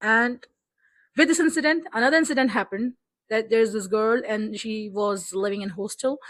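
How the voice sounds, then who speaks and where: Speaking in a Pakistani accent, a woman with a fairly high voice talks at a moderate pace in an animated tone. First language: Urdu. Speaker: book vlogger. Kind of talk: casual vlog talk.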